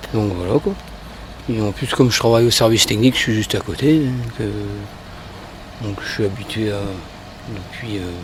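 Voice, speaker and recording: Amid noticeable background noise, a man with a fairly low pitch talks at a moderate pace, leaving long, frequent pauses. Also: fairly even intonation. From Brittany, France. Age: 40s. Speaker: municipal technical worker. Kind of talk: street interview. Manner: casual, hesitant.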